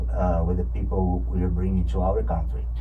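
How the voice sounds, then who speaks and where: Over noticeable background noise and audible room echo, a man with a Brazilian Portuguese accent speaks at a moderate pace in monotone, flat intonation. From Brazil, rural ranch and São Paulo. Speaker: political candidate. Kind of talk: radio interview. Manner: halting, many fillers and repeats.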